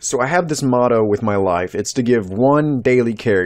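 A man is speaking. His pitch is medium. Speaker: YouTuber. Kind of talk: opinion monologue / rant. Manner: rambling.

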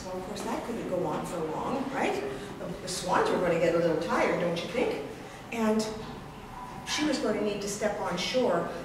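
At a moderate pace, a woman speaks in a medium pitch with lively intonation, with audible room echo and noticeable background noise. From Canada, First Nations (Coast Tsimshian). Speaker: storyteller. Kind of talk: live storytelling performance. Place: hall. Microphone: camera far.

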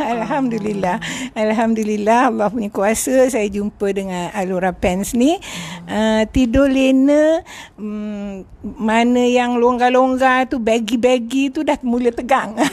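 Noticeable background noise sits behind a woman speaking at a very slow pace and a fairly high pitch, with ordinary pitch variation. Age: 70s. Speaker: retired schoolteacher. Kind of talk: interview answer.

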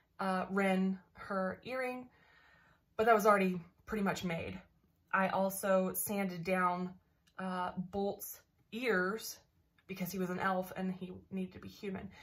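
With long, frequent pauses, a woman talks at a fairly slow pace in a somewhat breathy, monotone voice with flat intonation. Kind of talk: casual vlog chat. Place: home room. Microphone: webcam.

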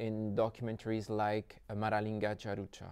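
Speaking at a fairly slow pace with a French accent, a man talks against a quiet background. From French Polynesia. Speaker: festival interviewer. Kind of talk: interview. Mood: polite, slightly hesitant. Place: hall. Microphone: lapel.

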